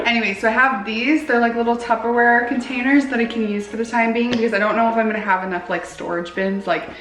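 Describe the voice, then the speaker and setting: Talking at a very fast pace with hardly any pauses, a woman uses a fairly high pitch and ordinary pitch variation amid audible room echo and noticeable background noise. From Canada. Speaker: lifestyle vlogger. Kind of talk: casual vlog chat. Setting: home studio.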